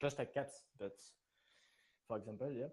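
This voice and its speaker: A man talks at a moderate pace in a French accent. His tone is dark and mellow, with medium pitch and ordinary pitch variation. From France. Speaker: community member, gamer. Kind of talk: casual interview. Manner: halting.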